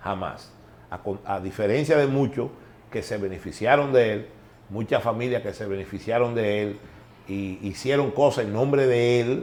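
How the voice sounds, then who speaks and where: A medium-pitched man with a Dominican accent, a moderate pace and ordinary pitch variation. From Dominican Republic, San Cristóbal. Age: 60s. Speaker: former baseball executive. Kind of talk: interview. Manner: halting.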